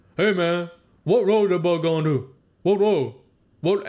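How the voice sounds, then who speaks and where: Mumbling in a put-on character voice, a man speaks with high pitch at a fairly slow pace. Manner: mumbling, unintelligible.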